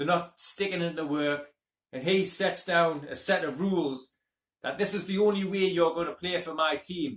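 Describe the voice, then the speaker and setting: This man's voice sits high in pitch. His intonation stays fairly even. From UK. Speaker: movie reviewer. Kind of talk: casual movie review monologue.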